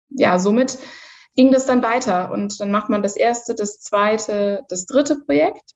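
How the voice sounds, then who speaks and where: A woman with an unremarkable speaking voice talks at a fairly slow pace, her pitch fairly high with ordinary pitch variation. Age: 30s. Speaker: corporate manager. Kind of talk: interview.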